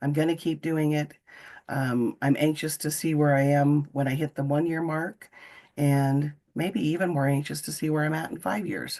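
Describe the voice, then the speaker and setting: Over a quiet background, a woman with an American accent speaks at a moderate pace in a very deep, low pitch, with a dark, mellow tone and fairly even intonation. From Nebraska. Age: 60s. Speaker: guest speaker sharing health story. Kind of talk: testimony.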